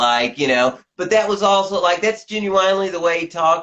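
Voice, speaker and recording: A man with a slight Southern US accent and lively intonation. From US South, Tennessee. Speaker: journalist and author. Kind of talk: interview. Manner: halting, many fillers and repetitions.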